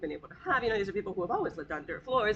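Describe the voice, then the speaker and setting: Lively intonation marks this woman's speech over noticeable background noise. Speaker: guest lecturer on housing projects. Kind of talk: lecture. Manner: fast.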